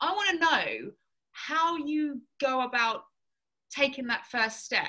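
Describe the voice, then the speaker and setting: A woman speaks with an English accent. Her tone is bright and sharp. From southern England. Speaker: fitness coach. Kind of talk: casual chat.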